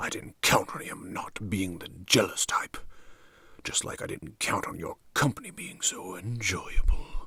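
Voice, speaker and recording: A man whispers at a moderate pace, using a put-on character voice. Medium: read story. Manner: smooth, matter-of-fact.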